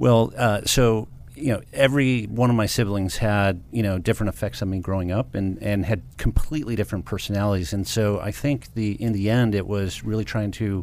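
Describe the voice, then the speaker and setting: A man speaks in a normal speaking voice at a fairly low pitch with ordinary pitch variation. His pace is fairly quick, with hardly any pauses. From Michigan (Detroit suburbs). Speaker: cybersecurity company founder. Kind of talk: radio interview.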